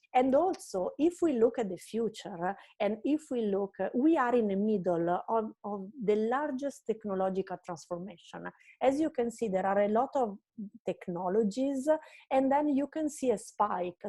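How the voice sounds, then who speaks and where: In a fairly high pitch, a woman with an Italian accent talks at a moderate pace with a dark, mellow tone, the sound dry and close with no echo over a quiet background. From Italy. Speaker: marketing strategist. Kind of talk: online presentation lecture.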